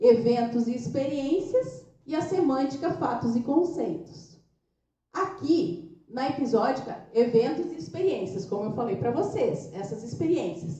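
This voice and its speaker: A woman's high-pitched voice at a fairly slow pace, with very wide pitch swings and audible room echo. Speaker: brain training franchise owner and speaker. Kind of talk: lecture.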